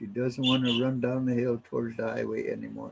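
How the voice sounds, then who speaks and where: The speaker is a man with an American accent. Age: 70s. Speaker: elder and language teacher. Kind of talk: storytelling language lesson. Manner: halting, many fillers.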